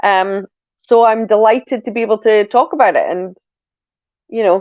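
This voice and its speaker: The delivery moves at a moderate pace. It comes in a Scottish accent. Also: woman. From Scotland. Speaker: podcast co-host. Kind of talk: casual chat.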